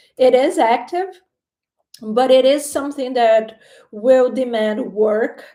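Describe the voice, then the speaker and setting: In a Portuguese accent, a woman speaks with a high pitch and a dark, mellow tone. Her pace is very slow, and her pitch varies in an ordinary way. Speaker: tarot reader. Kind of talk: live-stream tarot reading. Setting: live stream on camera. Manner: hesitant, with fillers and repeated words.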